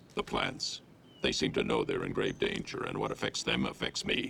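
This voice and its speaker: Clear background noise sits behind a man using a cartoonish character voice. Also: moderate pace. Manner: solemn, slow, grave.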